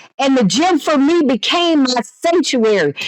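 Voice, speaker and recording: With an animated tone and lively intonation, a woman talks at a high pitch. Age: 60s. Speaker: fitness coach and gym owner. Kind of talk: casual podcast monologue. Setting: indoors seated in a chair.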